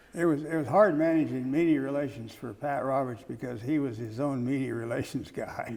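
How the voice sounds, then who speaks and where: American-accented man at medium pitch, fairly quick pace, hardly any pauses and ordinary pitch variation, with noticeable background noise. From Kansas, USA. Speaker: former journalist, press secretary and chief of staff. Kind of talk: oral history interview answer.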